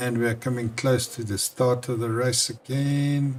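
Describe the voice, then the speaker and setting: A man with a South African accent speaks at a medium pitch. His pace is fairly slow. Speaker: sim racing commentator. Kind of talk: live commentary. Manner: animated.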